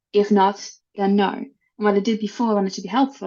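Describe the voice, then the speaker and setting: At a very fast pace, a woman talks in a medium pitch with fairly even intonation. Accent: Dutch. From Netherlands. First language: Dutch. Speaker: HR executive. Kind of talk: podcast interview.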